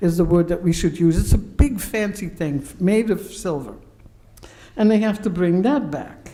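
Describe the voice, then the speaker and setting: A woman's dark, mellow tone with audible room echo. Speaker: pastor and professor giving a sermon. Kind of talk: sermon. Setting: synagogue service, live-streamed.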